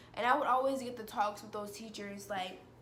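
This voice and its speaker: Audible room echo surrounds this woman's voice. Her pitch is fairly high. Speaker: vlogger. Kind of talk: personal vlog monologue. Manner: fast.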